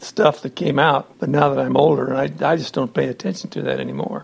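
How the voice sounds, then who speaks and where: A man with an American accent at a fairly quick pace, with noticeable background noise. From Montana, US. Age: 60s. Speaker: retired farm-raised family elder. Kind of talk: family oral history interview.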